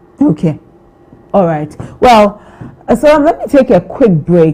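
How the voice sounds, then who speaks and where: A woman speaks at a moderate pace. Noticeable background noise can be heard behind her. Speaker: morning TV news host. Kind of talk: live TV interview.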